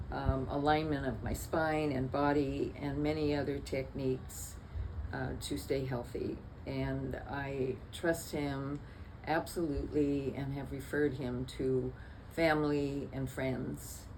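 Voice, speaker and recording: Audible room echo around a woman's very slow speech. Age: 80s+. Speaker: patient. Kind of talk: testimony. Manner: halting.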